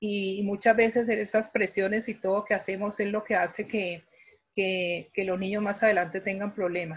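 A woman speaks at a medium pitch in monotone, flat intonation. Her voice is somewhat breathy and her pace moderate. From Colombia. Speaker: pediatric physiotherapist. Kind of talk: interview on a live online talk. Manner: halting with word repetitions.

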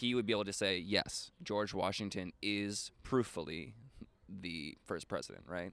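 With an ordinary speaking voice, a man talks fairly slowly at a fairly low pitch and with ordinary pitch variation. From Rhode Island, US. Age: 20s. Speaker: podcast host and comedian. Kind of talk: casual interview conversation.

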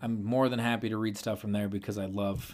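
An ordinary speaking voice, a man at medium pitch with a fairly quick pace, in a very clean recording with a silent background. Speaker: podcast host, pest control worker. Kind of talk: casual chat, podcast.

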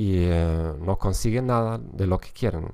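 A man with a German accent is heard on a very clean recording with a silent background. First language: German (speaking Spanish). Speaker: podcast host and language teacher. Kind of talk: educational monologue. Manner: halting, with many fillers and repetitions.

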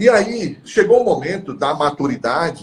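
His pitch swinging very widely, a man talks at a fairly slow pace. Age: 40s. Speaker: gynecologist and professor. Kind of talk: live stream interview.

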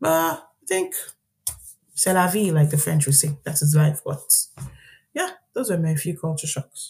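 With long, frequent pauses, a woman speaks at a moderate pace in a very deep, low pitch with ordinary pitch variation. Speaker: guest business analyst. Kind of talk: casual interview chat. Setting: video call. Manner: loud.

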